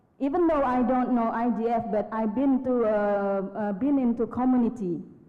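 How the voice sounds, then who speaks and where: A woman speaks fairly slowly in a fairly high voice with ordinary pitch variation. Noticeable background noise and audible room echo fill the recording. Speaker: conference participant. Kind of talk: audience question at plenary. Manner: halting, many fillers.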